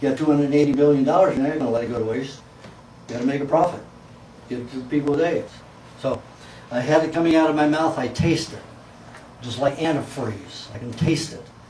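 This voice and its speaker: This man talks very fast in a fairly high pitch, with fairly even intonation but big swings in loudness and long, frequent pauses. Noticeable background noise and audible room echo fill the recording. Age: 60s. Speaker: raw food diet lecturer. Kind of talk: lecture.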